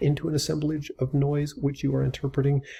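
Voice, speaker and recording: A man's dark, mellow voice with vocal fry, at a fairly quick pace, on a very clean recording with a silent background. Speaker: writing teacher. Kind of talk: educational lecture to camera. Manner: casual, conversational.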